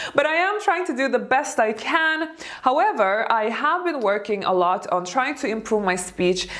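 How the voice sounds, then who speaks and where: Over noticeable background noise, a woman speaks at a moderate pace with a non-native accent. Her high voice swings very widely in pitch. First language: not English. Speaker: elegance coach and YouTuber. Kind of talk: video tutorial.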